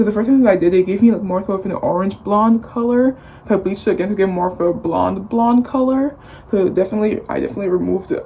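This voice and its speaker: Over noticeable background noise, a woman with medium pitch and ordinary pitch variation talks at a very fast pace. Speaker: beauty vlogger. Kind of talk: casual vlog talk.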